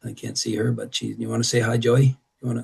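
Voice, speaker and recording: This is a man at a medium pitch. His voice is somewhat breathy. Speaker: golf instructor. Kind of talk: online presentation.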